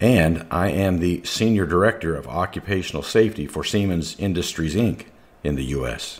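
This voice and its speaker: A man's very deep, low voice carries vocal fry, moving at a moderate pace with ordinary pitch variation. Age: 60s. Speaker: corporate safety director and radio show host. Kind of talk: prepared talk on a radio show.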